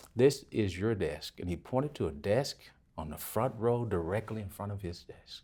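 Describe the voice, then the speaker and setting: A man with a dark, mellow, somewhat breathy tone speaks at a moderate pace, with lively intonation and big swings in loudness. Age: 60s. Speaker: author and motivational speaker. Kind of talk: interview testimony. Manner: halting, many fillers and repeats.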